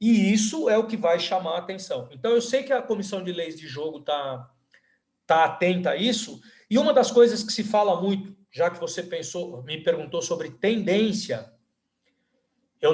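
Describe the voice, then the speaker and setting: This man has a high voice. His intonation is lively. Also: big swings in loudness. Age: 60s. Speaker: university professor and volleyball coach. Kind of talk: podcast interview. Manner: halting, many fillers.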